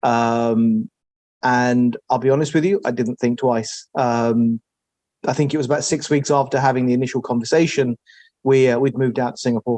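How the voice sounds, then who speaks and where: A man with a London accent, medium pitch and fairly even intonation, in a dark, mellow tone at very even loudness, with a dry, close sound with no echo and a quiet background. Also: moderate pace. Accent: English (London), noticeable. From England, Southwest London (New Malden). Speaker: technology executive. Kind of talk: interview. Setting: office.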